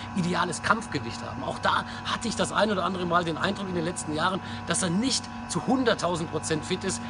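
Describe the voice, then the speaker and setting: A man speaks at a fairly quick pace in a high pitch with very wide pitch swings, over noticeable background noise. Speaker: sports commentator and football blogger. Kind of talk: football vlog commentary to camera. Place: street. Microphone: phone near.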